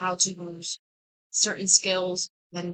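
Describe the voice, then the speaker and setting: Her voice sits at a medium pitch. The sound is dry and close, without any echo. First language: Spanish. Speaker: college student. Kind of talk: class presentation. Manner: hesitant, with fillers.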